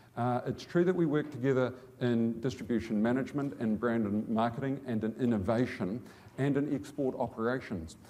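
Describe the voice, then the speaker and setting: A man with a New Zealand accent, medium-pitched, dark and mellow in tone, at a fairly quick pace, with ordinary pitch variation, very even loudness and audible room echo. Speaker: business executive. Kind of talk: conference talk. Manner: fast; repetitive stammering starts.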